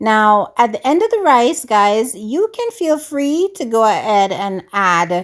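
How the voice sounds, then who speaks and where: With a Jamaican accent, the speaker uses lively intonation at a very slow pace in a very clean recording with a silent background. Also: woman. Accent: Jamaican English, with some patois. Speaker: cooking YouTuber. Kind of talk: cooking tutorial. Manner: animated.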